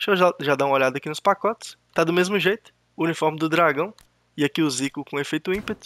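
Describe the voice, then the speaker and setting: A man speaks at a very fast pace in a bright, sharp tone with ordinary pitch variation. The sound is dry and close with no echo, on a very clean recording with a silent background. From Brazil. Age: 30s. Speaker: gaming youtuber. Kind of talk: casual gameplay commentary. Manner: hesitant, repeats words.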